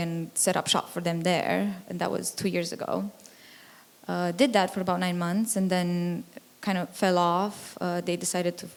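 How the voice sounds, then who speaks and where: Intonation stays monotone and flat at a moderate pace, in a Romanian accent. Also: woman. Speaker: music tech entrepreneur. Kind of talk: panel discussion.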